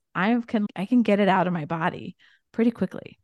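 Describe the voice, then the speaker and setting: A woman with a Midwestern American accent, medium-pitched, at a moderate pace with ordinary pitch variation, in a dry, close sound with no echo. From US Midwest, rural Indiana. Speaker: entrepreneur. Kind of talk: interview.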